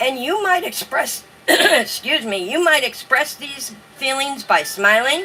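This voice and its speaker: Raised and projected, a woman's high-pitched voice swings very widely in pitch at a fairly slow pace over noticeable background noise. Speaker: online journaling host. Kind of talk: live stream talk reading from notes. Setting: live stream with light background music. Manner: sounds like reading aloud.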